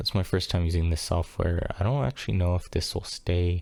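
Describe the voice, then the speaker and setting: Quiet and fast-moving at a fairly quick pace, a man speaks in a very deep, low pitch with a dark, mellow tone. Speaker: streamer testing audio gear. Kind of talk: solo mic test talk-through. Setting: home room at night, window open. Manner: quiet, normal speaking voice; hesitant, many fillers.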